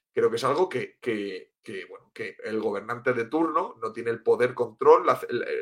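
A man at a moderate pace. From Spain, Cartagena (Murcia). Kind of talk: interview. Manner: halting, with many repetitions.

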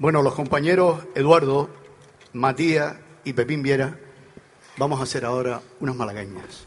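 A man speaks at a moderate pace with fairly high pitch and ordinary pitch variation. His speech has long, frequent pauses. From Canary Islands. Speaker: folk group member and song presenter. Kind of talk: live concert stage announcements. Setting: outdoor stage in a town square with audience.

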